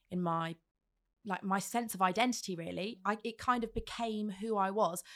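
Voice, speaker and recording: Recorded very cleanly against a silent background, a woman has an unremarkable speaking voice at medium pitch with fairly even intonation. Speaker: radio host and podcast producer. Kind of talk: casual interview.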